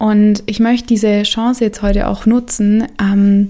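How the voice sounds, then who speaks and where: A woman's fairly high voice, dark and mellow in tone, with monotone, flat intonation. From Stuttgart, Germany. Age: 20s. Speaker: yoga teacher and podcast host. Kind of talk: personal monologue; lecture. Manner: casual, many filler sounds.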